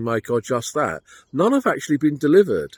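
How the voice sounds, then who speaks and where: With a British accent and lively intonation, a man talks at a fairly quick pace in a very clean recording with a silent background and a dry, close sound with no echo. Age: 60s. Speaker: personal finance vlogger. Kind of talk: monologue commentary. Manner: casual, conversational.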